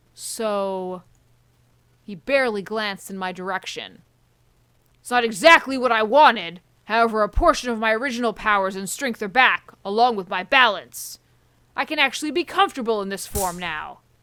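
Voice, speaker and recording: A woman performs a put-on character voice with fairly high pitch at a moderate pace in a very clean recording with a silent background. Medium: game stream. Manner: gruff, scornful.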